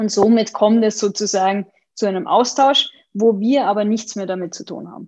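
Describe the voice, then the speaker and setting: A woman with a plain, everyday voice speaks at a moderate pace and fairly high pitch. Her intonation is fairly even, with big swings in loudness. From Austria, Vienna. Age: 20s. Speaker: opera database executive. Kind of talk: interview.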